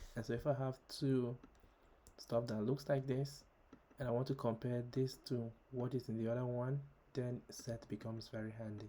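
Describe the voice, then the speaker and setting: This man has a dark, mellow tone at a medium pitch. He talks at a moderate pace in a flat monotone. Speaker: programming tutorial creator. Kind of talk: tutorial. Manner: hesitant, many fillers.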